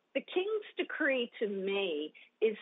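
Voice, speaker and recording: Her pace is very slow. The woman's intonation stays lively throughout. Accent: Australian. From Australia. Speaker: ministry leader and author. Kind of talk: interview.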